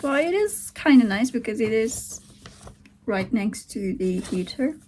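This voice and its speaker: A woman speaks with a Turkish accent at a fairly high pitch and a fairly slow pace. Noticeable background noise is present. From Turkey. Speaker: vlogger, aspiring writer. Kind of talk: casual video diary. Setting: at home, sitting on the floor. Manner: halting.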